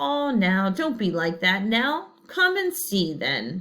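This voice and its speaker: A soft-spoken woman uses a put-on character voice, talking very slowly at a medium pitch. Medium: read story. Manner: soft, low.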